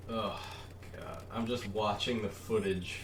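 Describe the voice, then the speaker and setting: Audible room echo and noticeable background noise surround a man's voice. He keeps a moderate pace and fairly even intonation. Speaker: gaming YouTuber. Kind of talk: gameplay voice-over commentary. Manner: casual, halting with many fillers.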